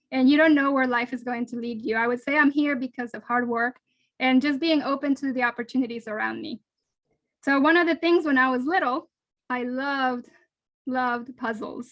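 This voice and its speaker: Speaking at a fairly quick pace, a woman with a Spanish accent has a high pitch and fairly even intonation. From Colombia, then South Florida. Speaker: NASA engineer giving a school talk. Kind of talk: lecture. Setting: video call.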